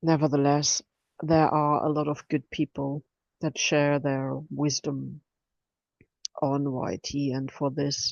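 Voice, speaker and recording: The speaker talks at a very slow pace, with long pauses coming often. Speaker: spiritual channel host. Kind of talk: spontaneous spiritual message. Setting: indoor room, recorded on computer with headphones. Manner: slow, meditative.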